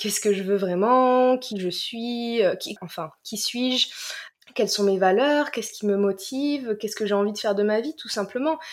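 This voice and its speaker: A woman in a normal speaking voice at a moderate pace. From southern France, Marseille. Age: 20s. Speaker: life coach. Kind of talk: casual chat.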